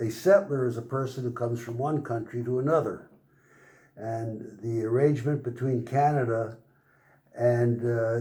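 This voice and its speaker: A man's medium-pitched voice, somewhat breathy with a dark, mellow tone, carries fairly even intonation amid audible room echo. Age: 80s+. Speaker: car owner. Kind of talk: interview. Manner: halting.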